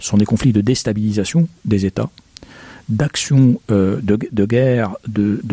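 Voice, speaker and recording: A man's fairly low, dark and mellow voice with ordinary pitch variation, recorded dry and close with no echo. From Egypt. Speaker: history professor. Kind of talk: interview. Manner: halting.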